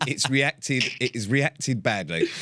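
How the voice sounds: Here a man speaks slowly with a bright, sharp tone. His intonation is lively. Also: medium pitch for a man.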